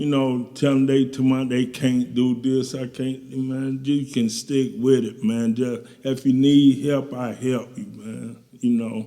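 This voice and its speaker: A man talks at a fairly slow pace in a medium pitch. His tone is dark and mellow, his intonation monotone and flat. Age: 60s. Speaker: guest recounting recovery from addiction. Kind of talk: interview testimony. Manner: casual, colloquial.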